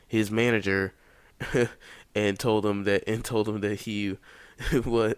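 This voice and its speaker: A quiet man at a moderate pace on a very clean recording with a silent background. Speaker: YouTube commentator. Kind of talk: casual commentary monologue. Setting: home recording at night. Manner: quiet, held-back talking; halting, many fillers and restarts.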